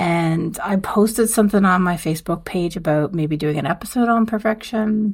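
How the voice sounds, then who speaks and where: A woman's quiet whispering at a moderate pace on a very clean recording with a silent background. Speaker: podcast host. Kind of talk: solo podcast monologue. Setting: dorm room. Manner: quiet, near whisper.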